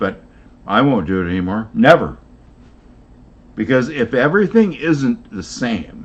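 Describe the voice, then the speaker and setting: Speaking fairly slowly with long, frequent pauses, a man at medium pitch shows vocal fry and very wide pitch swings. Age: 70s. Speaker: rc hobbyist with engineering degree. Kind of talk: casual chat.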